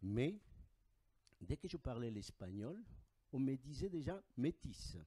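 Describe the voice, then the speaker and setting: Very slowly and with lively intonation, a man with an Andean accent speaks at a medium pitch in a dark, mellow tone, sounding dry and close with no echo. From Bolivia. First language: Aymara (speaking French). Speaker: audience member asking a question. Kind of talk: audience question and comment.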